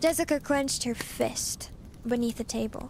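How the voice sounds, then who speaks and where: A woman speaks at a fairly high pitch. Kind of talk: audiobook reading. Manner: soft-spoken.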